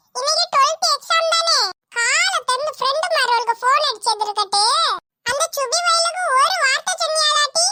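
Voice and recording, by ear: A woman's cartoonish character voice, extremely high in pitch, with very wide pitch swings, very even loudness, and a moderate pace.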